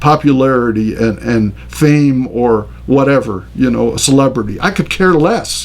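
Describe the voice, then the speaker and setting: Noticeable background noise and audible room echo fill the recording. Over them a man speaks at a fairly high pitch. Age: 60s. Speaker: pastor. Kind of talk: lecture. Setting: recorded on camera.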